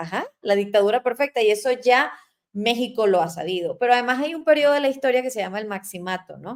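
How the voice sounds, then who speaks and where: A woman with a Venezuelan accent speaks at a very fast pace, her fairly high voice carrying lively intonation and big swings in loudness. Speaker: talk show host. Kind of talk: interview on current affairs. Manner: halting, with many fillers.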